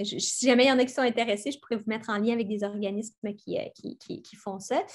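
In a quiet background, a woman speaks with a fairly high pitch and fairly even intonation. Her pace is fairly quick, with hardly any pauses. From Quebec, Montérégie; Quebec. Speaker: environmental speaker; speaker. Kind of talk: lecture. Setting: video call. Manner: halting, many repetitions. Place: home room. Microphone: webcam.

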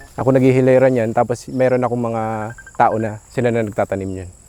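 With noticeable background noise, a man speaks fairly quickly at a medium pitch and with fairly even intonation. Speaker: farmer. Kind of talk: casual interview. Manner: halting.

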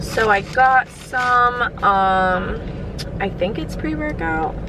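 A woman is speaking. The sound is dry with no echo, though noticeable background noise comes through. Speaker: vlogger. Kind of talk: casual vlog chat. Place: car. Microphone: phone near.

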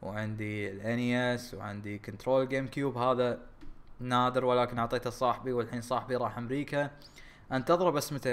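A man speaks at a medium pitch. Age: 20s. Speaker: YouTube gaming creator. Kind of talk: casual vlog talk. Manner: halting, many fillers.

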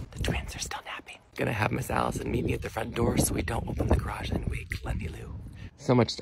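A whisper moves along at a fairly quick pace beneath noticeable background noise. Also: man. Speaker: stay-at-home dad vlogger. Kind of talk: casual vlog narration.

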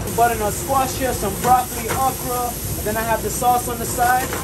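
A man talks while background noise is noticeable. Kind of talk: casual interview while cooking. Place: kitchen. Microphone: phone near.

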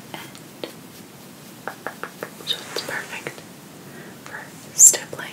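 Soft-spoken and whispering, a woman talks at a very slow pace. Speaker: ASMR creator. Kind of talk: soft ASMR narration. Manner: soft ASMR whisper near microphone. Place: home room. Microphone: studio mic.

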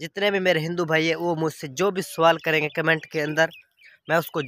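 In a dry sound with no echo, a man with a fairly high pitch and a bright, sharp tone speaks at a fairly slow pace with fairly even intonation. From Pakistan. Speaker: vlogger. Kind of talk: casual vlog. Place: farm machine. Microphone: phone near.

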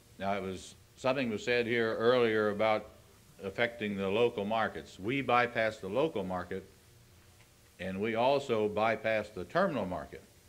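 A man's medium-pitched voice with a Midwestern American accent. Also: ordinary pitch variation, moderate pace. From Ohio. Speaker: farm organization grain representative. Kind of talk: convention speech. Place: hall. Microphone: old recording.

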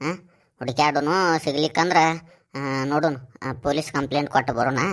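The voice sits at a low-to-middle pitch. It is a cartoonish character voice. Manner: unhurried, fatherly.

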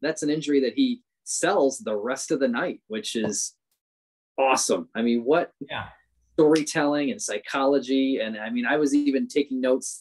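A man talks at a moderate speed, his pitch varying in an ordinary way against a quiet background. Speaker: podcast guest. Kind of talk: casual discussion commentary. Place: home room. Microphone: webcam.

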